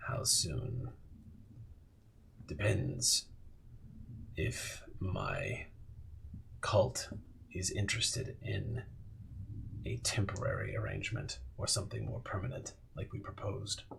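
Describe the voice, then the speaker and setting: A man in a put-on character voice, calm in tone and fairly slow in pace, over clear background noise. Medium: actual play. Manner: calm, unsettling, knowing.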